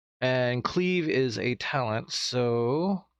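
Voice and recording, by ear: A man of medium pitch speaks very slowly in a clear, smooth tone with lively intonation.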